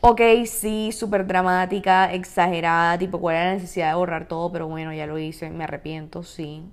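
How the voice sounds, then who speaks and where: A woman speaks at a fairly quick pace with a fairly low pitch. Her tone is animated, with hardly any pauses. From Colombia, Cartagena. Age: 20s. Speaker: podcast host. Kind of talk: casual solo podcast monologue.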